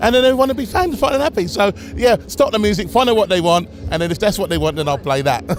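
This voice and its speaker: Against noticeable background noise, a man speaks very fast in a high pitch with very wide pitch swings. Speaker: DJ. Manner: storyteller, conversational.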